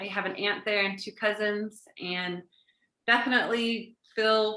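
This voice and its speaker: With an American accent, a woman talks in a fairly high voice with a bright, sharp tone. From Washington State, US. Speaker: guest. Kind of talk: casual chat.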